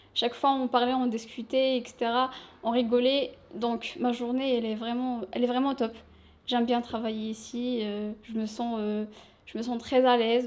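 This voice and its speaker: Monotone, flat intonation marks this woman's high-pitched voice. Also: moderate pace. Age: 20s. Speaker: shop sales assistant. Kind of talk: interview.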